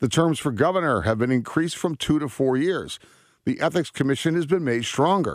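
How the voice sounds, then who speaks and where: In a very clean recording with a silent background, a man uses a normal speaking voice with ordinary pitch variation at a moderate pace. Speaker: political analyst. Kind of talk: news commentary read aloud in formal newsreader style. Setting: radio studio. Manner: formal, measured, authoritative delivery.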